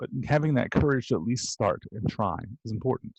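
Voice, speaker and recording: A man's somewhat breathy voice with ordinary pitch variation, against a quiet background. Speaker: college instructor. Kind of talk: lecture.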